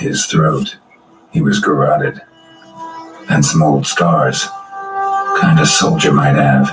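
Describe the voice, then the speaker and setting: A man talks in a put-on character voice at a fairly slow pace, with long, frequent pauses. Faint music plays in the background. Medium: video game. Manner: laconic, deadpan.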